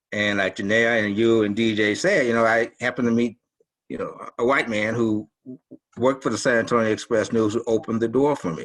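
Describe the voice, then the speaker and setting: This is a normal speaking voice. It moves at a fairly quick pace with fairly even intonation. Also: man, medium pitch for a man. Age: 60s. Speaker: newspaper columnist. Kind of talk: panel discussion.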